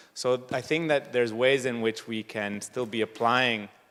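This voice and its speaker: Ordinary pitch variation and a moderate pace from a man with an unremarkable speaking voice. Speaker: researcher and project panelist. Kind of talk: panel discussion.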